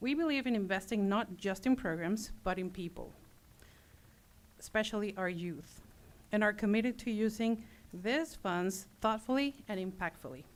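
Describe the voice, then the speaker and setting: The speaker, with a non-native accent, keeps a moderate pace broken by long, frequent pauses. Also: woman, medium pitch for a woman, ordinary pitch variation. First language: not English. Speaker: nonprofit volunteer representative. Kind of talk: formal presentation speech.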